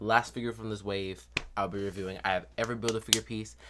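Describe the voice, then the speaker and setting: Over a silent background in a very clean recording, a man with a fairly low pitch talks at a very fast pace in an animated tone. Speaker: toy review youtuber. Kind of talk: casual video review. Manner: stutters at times.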